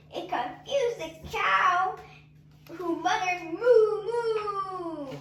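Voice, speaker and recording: In a cartoonish character voice of extremely high pitch, the speaker goes at a very slow pace with a slight echo. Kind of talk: bedtime story. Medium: puppet show. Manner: sing-song, rhythmic.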